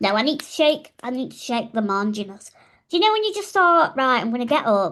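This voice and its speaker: A woman with a Yorkshire accent, high-pitched with very wide pitch swings, at a fairly quick pace. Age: 30s. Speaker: podcast co-host. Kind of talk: casual chat. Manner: animated.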